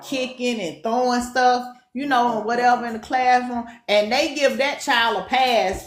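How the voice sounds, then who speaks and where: Speaking at a moderate pace with a strong Southern accent, a woman with a high, animated voice is heard over noticeable background noise and audible room echo. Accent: strong Southern twang. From US Deep South. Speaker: co-host of a talk show. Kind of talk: casual discussion.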